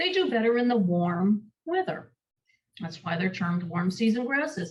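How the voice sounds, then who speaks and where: Somewhat breathy, a woman with a New York accent speaks at a moderate pace with a medium pitch and very wide pitch swings. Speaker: master gardener presenter. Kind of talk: workshop lecture.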